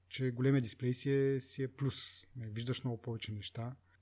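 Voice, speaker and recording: A man talks at a moderate pace. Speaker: tech podcast host. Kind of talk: casual chat.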